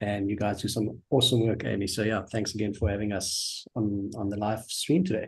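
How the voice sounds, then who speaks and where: This man talks at a fairly quick pace with hardly any pauses, in a South African accent. His voice is fairly low and somewhat breathy, with ordinary pitch variation. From South Africa, Johannesburg. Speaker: customer success manager. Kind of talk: casual interview. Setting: live stream.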